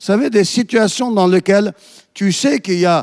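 The sound is dry and close, without any echo. A man talks with ordinary pitch variation. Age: 50s. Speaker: pastor. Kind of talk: sermon.

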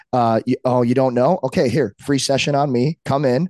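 A man speaks with an American accent in an ordinary speaking voice, at medium pitch with ordinary pitch variation. His pace is fairly quick, and the sound is dry and close with no echo. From Saint Louis, US Midwest. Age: 30s. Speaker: retired pro hockey player and strength coach. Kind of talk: casual chat.

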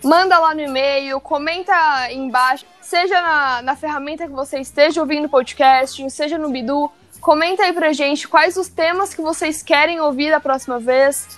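A woman's high-pitched voice at a moderate pace, with fairly even intonation. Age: 20s. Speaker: podcast host from company communications team. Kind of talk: corporate podcast interview.

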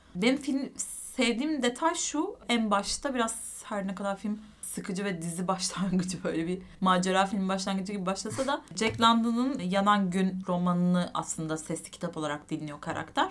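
Here is a woman with a plain, everyday voice at medium pitch. She keeps a moderate pace and lively intonation. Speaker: film podcast co-host. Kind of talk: casual chat.

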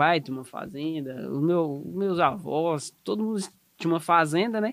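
A man with a fairly high pitch, a plain, everyday voice and lively intonation. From southeast Tocantins, Brazil. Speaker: animal scientist and technical consultant. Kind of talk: casual podcast conversation.

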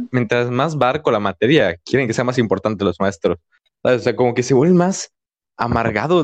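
A man with a Mexican accent talks at a fairly quick pace with medium pitch and lively intonation, in dry, close sound with no echo. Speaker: podcast host. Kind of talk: casual chat.

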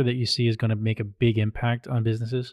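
An ordinary speaking voice, a man speaks at a fairly quick pace with a dry, close sound with no echo in a very clean recording with a silent background. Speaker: podcast host. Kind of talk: casual interview chat.

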